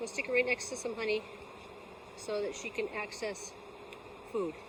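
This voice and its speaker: Noticeable background noise surrounds a woman speaking at a moderate pace. Her fairly high voice keeps a fairly even intonation. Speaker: beekeeper. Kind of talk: tutorial. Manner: sometimes slightly slurred speech; casual.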